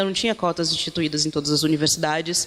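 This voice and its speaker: A woman talks with ordinary pitch variation. Noticeable background noise is present. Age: 30s. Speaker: activist and project founder. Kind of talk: panel talk.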